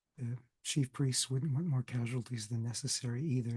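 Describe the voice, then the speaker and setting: A somewhat breathy man talks at a moderate pace and a medium pitch. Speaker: Bible scholar, lecturer. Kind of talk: recorded class lecture.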